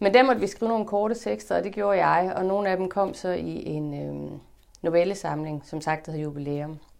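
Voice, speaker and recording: A woman talks in an ordinary speaking voice at a fairly low pitch and a moderate pace. Her intonation is lively. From northern Jutland, Denmark (Limfjord area). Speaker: author and translator. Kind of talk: interview conversation at a library event.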